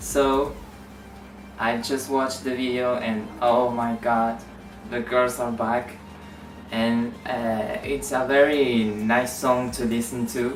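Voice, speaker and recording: With music in the background, the speaker talks at a very slow pace in a Spanish accent. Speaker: YouTuber, K-pop fan vlogger. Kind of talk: casual vlog talk. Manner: halting, many fillers.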